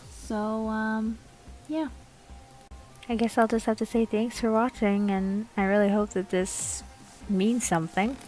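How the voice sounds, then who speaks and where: Against music in the background, a woman talks at a fairly slow pace, pausing long and often. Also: fairly even intonation. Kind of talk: drawing tutorial narration. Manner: casual, hesitant.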